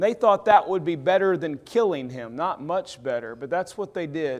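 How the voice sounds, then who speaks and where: In a Southern US accent, a man talks with an animated tone and very wide pitch swings. His voice is high, and his pace is moderate. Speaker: preacher. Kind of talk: sermon.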